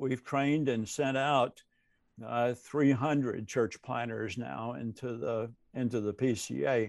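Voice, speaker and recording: In a Southern US accent, a man speaks fairly slowly at a medium pitch with fairly even intonation over a quiet background. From US South. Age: 70s. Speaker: retired seminary professor and pastor. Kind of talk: casual interview.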